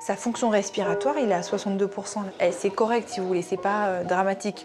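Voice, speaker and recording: Music plays in the background as a woman talks. She moves at a fairly quick pace with fairly even intonation. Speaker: surgeon. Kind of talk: casual chat. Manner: fast.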